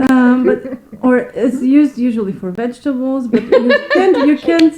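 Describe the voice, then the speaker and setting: A high-pitched woman at a moderate pace, ordinary pitch variation, noticeable background noise behind her. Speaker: podcast co-host. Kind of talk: casual chat.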